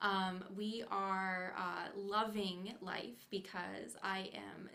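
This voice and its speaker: A woman's voice with audible room echo. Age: 30s. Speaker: felt artist and hat maker. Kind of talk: casual interview chat. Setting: studio livestream. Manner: soft-spoken.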